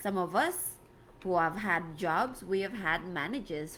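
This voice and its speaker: A woman speaks with a West African accent at a fairly slow pace. Her pitch sits in the medium range, with ordinary pitch variation. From Gambia, West Africa. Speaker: life coach. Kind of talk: live stream talk. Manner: conversational, repetitive.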